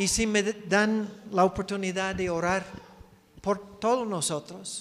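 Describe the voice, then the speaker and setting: A high-pitched man's voice at a very slow pace, with fairly even intonation. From United States. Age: 60s. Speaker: missionary preacher. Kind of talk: sermon. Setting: church.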